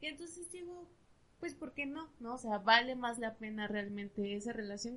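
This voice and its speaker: A woman with a fairly high pitch uses an ordinary speaking voice. She talks at a moderate pace. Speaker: psychologist. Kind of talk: casual chat.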